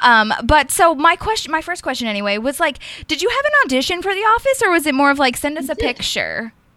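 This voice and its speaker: Raised and projected, a woman's high, bright, sharp voice races at a very fast pace with very wide pitch swings. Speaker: podcast host. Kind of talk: casual interview.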